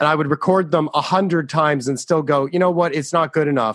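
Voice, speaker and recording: A man's fairly high voice, an ordinary speaking voice, with fairly even intonation on a very clean recording with a silent background. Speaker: comedian. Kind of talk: interview answer.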